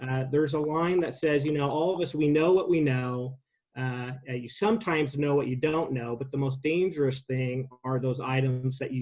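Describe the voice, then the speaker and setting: A man with a Pacific Northwest accent, medium pitch, ordinary pitch variation and a moderate pace. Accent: General American (Pacific Northwest). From US Pacific Northwest (Sandy, Oregon). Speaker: city mayor chairing council meeting. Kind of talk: public meeting remarks. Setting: virtual meeting. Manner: hesitant, many fillers.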